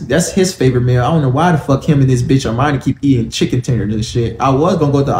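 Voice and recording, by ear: The voice is reading aloud in a natural voice, with ordinary pitch variation.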